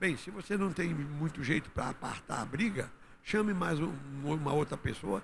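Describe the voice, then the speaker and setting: There is vocal fry in this man's fairly high voice. He speaks at a fairly slow pace with lively intonation. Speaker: pastor. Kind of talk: sermon.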